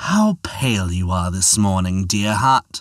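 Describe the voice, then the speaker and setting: A put-on character voice from a man, fairly low in pitch with ordinary pitch variation, at a fairly slow pace in a dry, close sound with no echo. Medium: read story. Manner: smooth, flattering.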